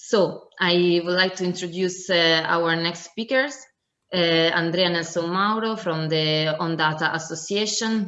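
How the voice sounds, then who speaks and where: Audible room echo around a woman with an Italian accent, fairly low in pitch, with ordinary pitch variation at a fairly slow pace. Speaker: conference moderator. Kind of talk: conference moderation. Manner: hesitant, many fillers.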